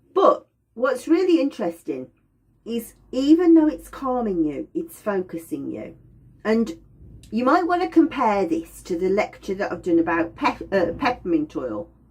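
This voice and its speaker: A woman speaks at a medium pitch with vocal fry. Her pitch swings very widely. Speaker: aromatherapy teacher. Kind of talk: lecture. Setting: indoors by a window. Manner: slower and quieter.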